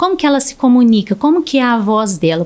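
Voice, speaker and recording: This woman has a high pitch and talks at a fairly quick pace. Her pitch swings very widely. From Brazil. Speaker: speech therapist. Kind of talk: podcast interview.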